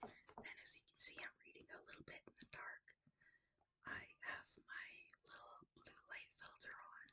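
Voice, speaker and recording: A woman whispers at a fairly slow pace, her loudness swinging widely. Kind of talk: casual talk to camera. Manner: whispered.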